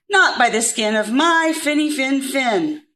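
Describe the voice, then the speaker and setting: A woman speaks in a put-on character voice. Her pitch is high and her pace fairly slow. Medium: read story.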